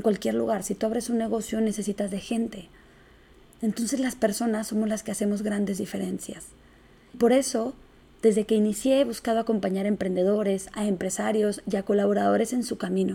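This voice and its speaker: With a northern Mexican accent, a woman talks at a fairly quick pace in a fairly high voice that is dark and mellow, with vocal fry. Her intonation stays monotone and flat. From northern Mexico, Chihuahua. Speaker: podcast host, business owner and speaker. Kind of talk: solo podcast monologue. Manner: blunt northern delivery.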